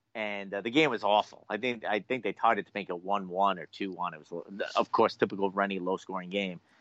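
An ordinary speaking voice from a man, fairly low-pitched with fairly even intonation, big swings in loudness, a fairly quick pace and hardly any pauses. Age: 40s. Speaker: sports podcast co-host. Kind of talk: casual sports talk show banter.

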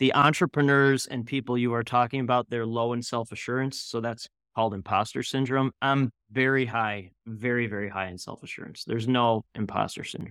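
On a very clean recording with a silent background and a dry, close sound with no echo, a man speaks fairly quickly at a medium pitch, in a normal speaking voice with fairly even intonation. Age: 40s. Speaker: founder of a networking platform for entrepreneurs. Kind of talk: podcast interview.

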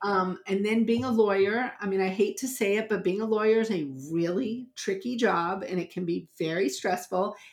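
In an unremarkable speaking voice, a woman with an American accent talks at a moderate pace and medium pitch, with ordinary pitch variation and hardly any pauses. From US South, New Orleans. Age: 50s. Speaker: family law attorney. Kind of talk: interview.

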